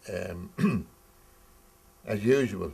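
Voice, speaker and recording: A man speaks with a Dublin accent. Vocal fry runs through his voice. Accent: Dublin Irish. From Ireland, Dublin. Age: 70s. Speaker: eyewitness interviewee. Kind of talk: oral history interview. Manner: halting.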